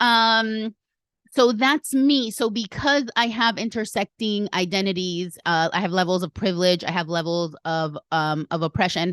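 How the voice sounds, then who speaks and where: Against a quiet background, a woman with a medium pitch speaks at a moderate pace with lively intonation, the sound dry and close with no echo. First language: Spanish. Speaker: podcast host. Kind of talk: casual podcast monologue.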